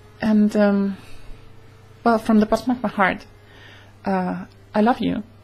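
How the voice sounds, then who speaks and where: A woman's voice at a fairly slow pace. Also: long, frequent pauses, big swings in loudness. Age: 20s. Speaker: vlogger. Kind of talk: casual vlog monologue. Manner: halting, many fillers. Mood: warm, earnest. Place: home room. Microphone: webcam.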